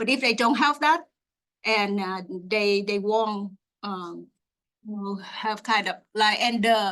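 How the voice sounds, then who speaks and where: Against a quiet background, a woman with a Vietnamese accent speaks at a fairly high pitch. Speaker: graduate student researcher. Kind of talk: Q&A after a research talk. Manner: halting, many fillers.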